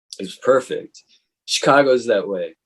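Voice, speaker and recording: Lively intonation marks this man's speech. His pace is moderate. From Chicago. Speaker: musician. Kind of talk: interview answer. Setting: online call. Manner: casual, hesitant.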